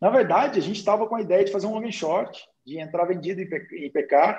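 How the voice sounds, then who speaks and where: At a moderate pace, a man talks in a high pitch. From Brazil, interior of Minas Gerais. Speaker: investor and day trader. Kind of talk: casual chat.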